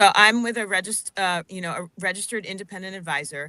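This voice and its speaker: In an ordinary speaking voice, a woman talks at a moderate pace and medium pitch with ordinary pitch variation, in a dry, close sound with no echo. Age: 50s. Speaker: financial advisor. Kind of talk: radio interview.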